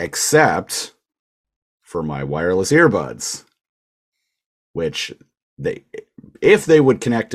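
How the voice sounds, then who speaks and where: A man in a Canadian accent speaks with vocal fry and very wide pitch swings. His loudness swings a lot, and he takes long, frequent pauses. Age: 30s. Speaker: podcast co-host. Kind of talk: casual chat.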